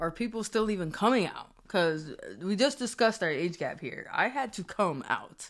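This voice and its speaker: On a very clean recording with a silent background, a woman with an American accent and a normal speaking voice talks at medium pitch and a moderate pace with lively intonation. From Springfield, Massachusetts. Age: 30s. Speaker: podcast host. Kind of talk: casual chat.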